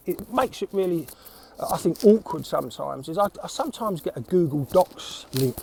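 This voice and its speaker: In a South East London accent, a man speaks with a high pitch and very wide pitch swings. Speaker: creative recruiter, former art director. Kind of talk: casual talk to camera. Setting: outdoors, windy.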